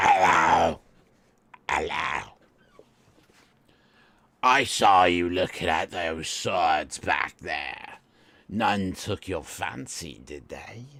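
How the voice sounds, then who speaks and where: A man puts on a raspy character voice with a very deep, low pitch. He talks very slowly, with long, frequent pauses. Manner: ingratiating, salesman-like.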